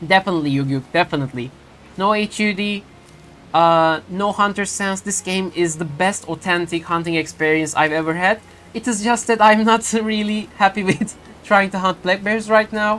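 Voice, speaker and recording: She talks with a Turkish accent. The woman keeps a moderate pace. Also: medium pitch for a woman, ordinary pitch variation. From Turkey. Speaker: video game streamer. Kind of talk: live gameplay stream chat. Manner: halting, many fillers and restarts.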